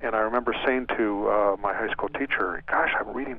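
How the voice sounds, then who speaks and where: A man at a medium pitch with ordinary pitch variation, fairly quick pace, and noticeable background noise. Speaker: author. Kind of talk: radio interview.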